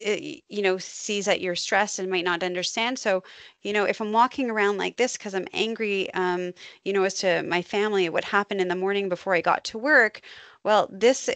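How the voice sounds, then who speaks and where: A woman talks with a normal speaking voice at a medium pitch, using ordinary pitch variation and a fairly quick pace against a quiet background. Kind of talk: webinar lecture. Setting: online webinar.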